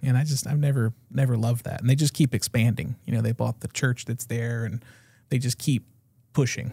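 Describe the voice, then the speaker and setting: A somewhat breathy voice with a dark, mellow tone and an American accent moves at a fairly quick pace with fairly even intonation. The recording is very clean and dry, close with no echo and a silent background. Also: man, medium pitch for a man. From Florida. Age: 40s. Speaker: podcast host. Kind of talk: casual chat.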